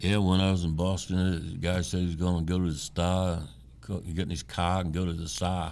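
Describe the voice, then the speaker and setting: A man with an Ohio accent speaks at a moderate pace. His pitch is very deep and low, with audible room echo. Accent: southern-sounding hillbilly Ohio. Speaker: podcast co-host. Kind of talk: casual chat.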